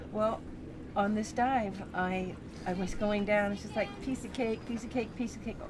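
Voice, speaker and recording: A woman with a fairly high pitch speaks at a moderate pace with fairly even intonation. Noticeable background noise and audible room echo are present. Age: 60s. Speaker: freediver. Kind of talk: live commentary.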